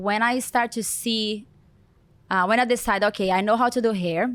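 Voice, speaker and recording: A woman with a Brazilian accent speaks in a fairly high voice with ordinary pitch variation, on a very clean recording with a silent background. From Brazil, Goiania. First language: Portuguese. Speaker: celebrity hair stylist. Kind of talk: interview.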